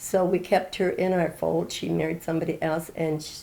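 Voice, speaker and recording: Her voice is fairly low for a woman, with a dark, mellow tone, vocal fry and fairly even intonation. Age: 80s+. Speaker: interviewee celebrating birthday. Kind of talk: casual interview.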